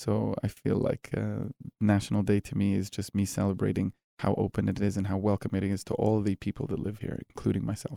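A man with a fairly low pitch and a dark, mellow tone talks at a fairly quick pace with vocal fry, fairly even intonation and hardly any pauses, in a dry, close sound with no echo. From Middle East, Egyptian raised in Gulf states and Canada. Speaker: barbecue chef and restaurant founder. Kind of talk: casual interview chat.

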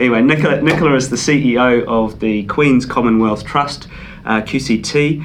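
A man at medium pitch with a New Zealand accent, moderate pace and fairly even intonation, amid noticeable background noise and audible room echo. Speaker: podcast host. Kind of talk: interview.

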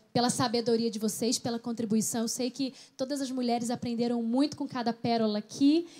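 This woman speaks with a high pitch. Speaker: pastor. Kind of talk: panel chat.

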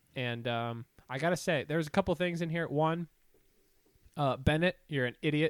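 A fairly high-pitched man with an Ohio accent, at a moderate pace with long, frequent pauses, in a dry, close sound with no echo. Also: ordinary pitch variation, very clean recording, silent background. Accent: Midwestern American (Ohio). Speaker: podcast co-host. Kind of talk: casual chat.

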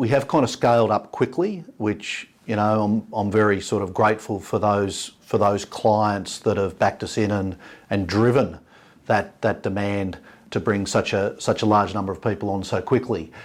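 A man with an Australian accent and a fairly low pitch speaks at a moderate pace with ordinary pitch variation, in a very clean recording against a silent background. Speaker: business founder and executive chairman. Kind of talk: interview. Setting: office.

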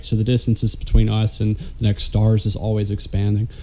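Very fast and monotone, a man speaks with a Southern US accent and flat intonation. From Alabama. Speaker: podcast co-host. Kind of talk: casual chat.

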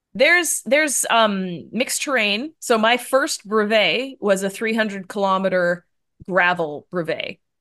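A woman with a Canadian accent and an unremarkable speaking voice talks at a fairly slow pace, her fairly high pitch carrying lively intonation against a quiet background. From Canada. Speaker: endurance cyclist. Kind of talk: casual interview.

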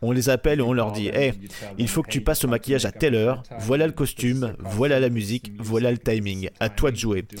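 A man's voice shows typical pitch movement while music plays behind it. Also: medium pitch for a man, fairly quick pace. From southwest Germany, near Freiburg. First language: German (speaking French). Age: 30s. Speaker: theme park event designer. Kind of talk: interview.

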